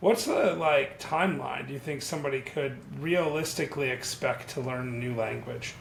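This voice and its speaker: Over noticeable background noise, a man with a fairly high pitch talks at a moderate pace with hardly any pauses and ordinary pitch variation. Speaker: YouTube channel host. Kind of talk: casual interview. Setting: video call.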